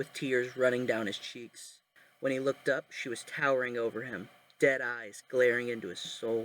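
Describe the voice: Someone is doing plain reading aloud here.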